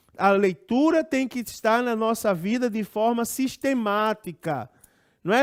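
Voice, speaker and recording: An extremely high-pitched man talks at a fairly slow pace with lively intonation. The recording is very clean, with a silent background. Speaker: pastor and Bible school teacher. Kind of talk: Bible lesson.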